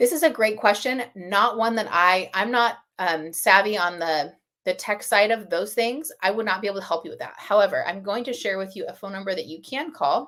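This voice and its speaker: Her tone bright and sharp, a woman talks with lively intonation, big swings in loudness and hardly any pauses. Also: medium pitch for a woman, fairly quick pace. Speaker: software webinar presenter. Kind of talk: webinar Q and A. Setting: online webinar. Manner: fast.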